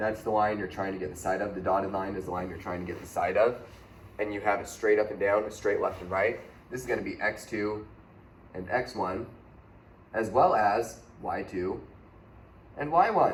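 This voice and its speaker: Here a man talks at a fairly low pitch with ordinary pitch variation and big swings in loudness, leaving long, frequent pauses. Audible room echo and light background noise are present. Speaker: math teacher. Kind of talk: tutorial. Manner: fast; casual. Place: classroom. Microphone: camera far.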